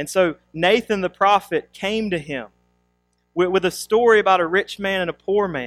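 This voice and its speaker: A man talks at a moderate pace and a high pitch with ordinary variation, the sound dry and close with no echo, while music plays in the background. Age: 30s. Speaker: pastor. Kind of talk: sermon; prayer.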